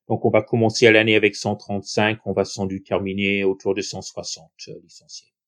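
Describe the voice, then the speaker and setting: The voice moves at a fairly slow pace with big swings in loudness. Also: man, fairly low pitch for a man. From southern New York State, US. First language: English (speaking French). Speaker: baseball club president. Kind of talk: podcast interview. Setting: remote recording.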